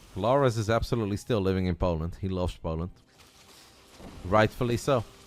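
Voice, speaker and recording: With a Dutch accent, a man speaks at a fairly quick pace, his fairly low pitch showing ordinary variation. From Netherlands. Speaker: esports commentator. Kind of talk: live commentary; casual chat.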